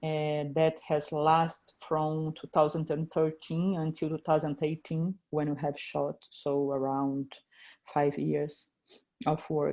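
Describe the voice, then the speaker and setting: In a Brazilian Portuguese accent, a woman with a very deep, low pitch and a dark, mellow tone speaks at a very slow pace in a monotone, flat intonation. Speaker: filmmaker. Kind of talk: interview. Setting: video call. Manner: halting, many repetitions.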